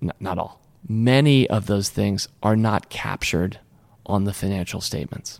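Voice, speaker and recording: A man's fairly low voice at a moderate pace, with ordinary pitch variation. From Washington, D.C. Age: 50s. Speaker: investor and company co-founder. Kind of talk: casual interview. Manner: energetic.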